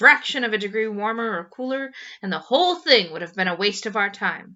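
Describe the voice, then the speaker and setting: Using a put-on character voice, a woman speaks at a fairly quick pace and a fairly high pitch. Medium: read story. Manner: brisk, practical.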